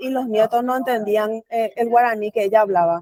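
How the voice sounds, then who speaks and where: A woman in a Paraguayan accent, dry and close with no echo. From rural Paraguay. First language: Guarani (speaking Spanish). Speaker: researcher and panel speaker. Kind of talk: panel presentation.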